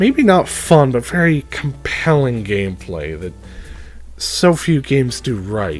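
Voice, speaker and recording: The delivery is fairly slow. Music plays in the background. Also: man. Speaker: game reviewer. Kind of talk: game review talk.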